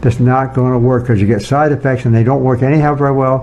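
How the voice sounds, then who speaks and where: Over noticeable background noise, a man talks at a fairly quick pace and a medium pitch, with ordinary pitch variation. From rural farm upbringing. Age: 80s+. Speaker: nutrition scientist. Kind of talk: casual interview.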